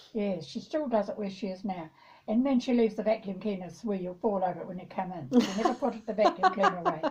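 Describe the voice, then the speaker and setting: Over noticeable background noise, the speaker talks at a very fast pace with lively intonation. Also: woman, medium pitch for a woman. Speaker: former farmer. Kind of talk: interview answer.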